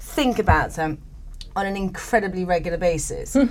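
A woman speaks at a moderate pace in an English accent, her pitch swinging very widely. Noticeable background noise sits behind her. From England. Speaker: painter. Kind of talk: casual chat.

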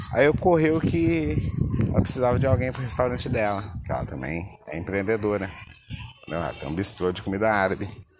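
Against noticeable background noise, a man with a fairly low pitch talks at a fairly quick pace, using lively intonation and long, frequent pauses. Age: 30s. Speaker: podcaster. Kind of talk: casual monologue. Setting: outdoors at the beach. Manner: laid-back, filler-heavy.

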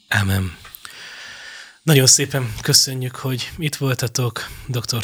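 A man is speaking. His pitch sits at a medium level. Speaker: radio host. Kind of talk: interview. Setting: studio.

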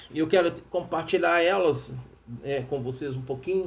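The room's echo is clearly audible. A man talks at a moderate speed, his intonation lively. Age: 50s. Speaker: radio preacher. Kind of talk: sermon with personal testimony. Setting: radio studio.

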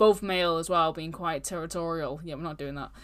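A woman with a British accent speaks at a very fast pace. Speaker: true crime podcast host. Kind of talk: casual true crime storytelling. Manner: casual, animated.

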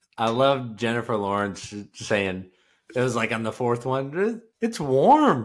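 On a very clean recording with a silent background, a man speaks in a plain, everyday voice at a fairly slow pace, with medium pitch and ordinary pitch variation. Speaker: podcast co-host. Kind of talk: casual chat between two stepbrothers.

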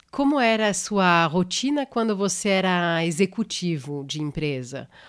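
A woman with a French accent speaks at a fairly low pitch with very wide pitch swings. The recording is very clean, with a silent background. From France. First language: French (speaking Portuguese). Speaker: podcast host. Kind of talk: interview.

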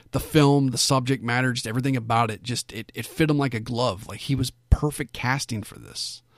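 A man with a normal speaking voice at medium pitch talks at a fairly quick pace with hardly any pauses, his intonation fairly even but his loudness swinging widely, in a dry, close recording with no echo. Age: 30s. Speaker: film review podcast host. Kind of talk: solo podcast monologue. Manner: casual, filler-heavy.

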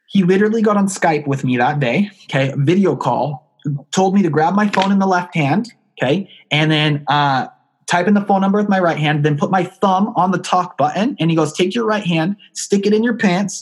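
A high-pitched man with an animated tone speaks at a moderate pace, keeping very even loudness and ordinary pitch variation. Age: 20s. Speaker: online marketing entrepreneur. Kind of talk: podcast interview.

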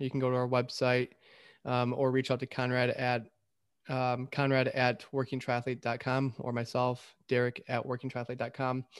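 An ordinary speaking voice, a man with an American accent talks at a moderate pace in a medium pitch, recorded very cleanly over a silent background. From Michigan. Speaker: triathlon coach, podcast host. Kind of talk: casual chat.

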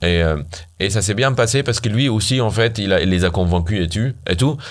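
Audible room echo surrounds a man speaking at a fairly quick pace. His pitch varies in an ordinary way. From Syria. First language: Arabic (speaking French). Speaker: startup founder, software engineer. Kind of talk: casual interview. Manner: halting.

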